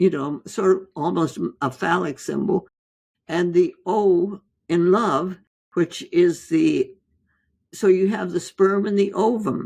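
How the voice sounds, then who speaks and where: Speaking at a very slow pace with long, frequent pauses, a woman uses a dark, mellow tone, medium pitch, ordinary pitch variation and vocal fry. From India. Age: 80s+. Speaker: physician, author. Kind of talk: interview answer.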